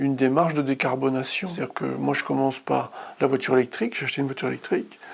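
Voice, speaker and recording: A man with a medium pitch keeps a fairly quick pace while noticeable background noise carries on behind him. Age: 60s. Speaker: customer testimonial, psychologist. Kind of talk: interview testimony. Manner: hesitant, with fillers.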